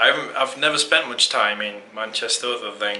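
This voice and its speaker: A man with an English accent mumbles at a moderate pace. Background noise is noticeable. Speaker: travel photography vlogger. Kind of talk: casual vlog to camera. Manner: mumbling.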